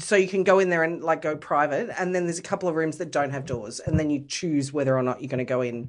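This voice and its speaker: Very deep and low, a woman's voice carries an Australian accent and ordinary pitch variation. She talks at a very fast pace with hardly any pauses. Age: 40s. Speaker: podcast guest. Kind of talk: casual chat.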